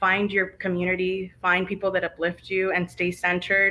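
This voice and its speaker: In a Spanish accent, a woman with a medium pitch and a bright, sharp tone speaks with monotone, flat intonation. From Arizona, US (early childhood California). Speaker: guest speaker on leadership. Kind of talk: interview Q&A.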